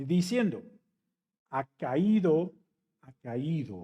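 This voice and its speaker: With an English accent, a man speaks in a dark, mellow tone, high in pitch, with lively intonation. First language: English (speaking Spanish). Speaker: pastor. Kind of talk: sermon.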